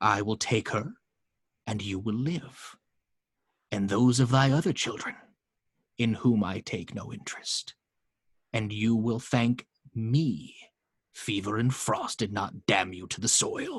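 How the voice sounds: Using a put-on character voice, a man speaks slowly at a fairly low pitch with a slightly husky edge, lively intonation, and long, frequent pauses.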